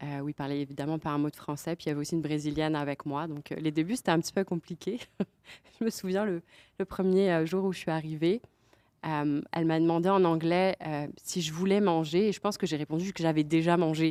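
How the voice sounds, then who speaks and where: A dark, mellow tone at a fairly quick pace, with fairly even intonation and a dry, close sound with no echo. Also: woman, fairly low pitch for a woman. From France. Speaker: podcast guest. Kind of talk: casual interview chat. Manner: hesitant, many fillers.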